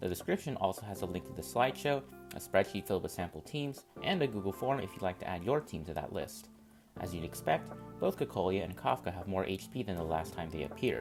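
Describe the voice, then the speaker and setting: Over music in the background, the voice races at a very fast pace with very wide pitch swings. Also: man, very deep, low pitch for a man. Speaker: gaming content creator. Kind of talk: game guide narration. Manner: mellow.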